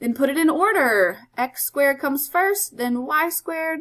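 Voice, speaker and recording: A woman talks in a high pitch. Her intonation is lively. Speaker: math teacher. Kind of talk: tutorial. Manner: fast.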